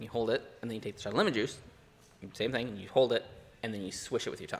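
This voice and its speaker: Mumbling at a very fast pace, a man speaks at medium pitch with fairly even intonation. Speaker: comedy podcast co-host. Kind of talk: casual chat. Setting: pub. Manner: fast, mumbling.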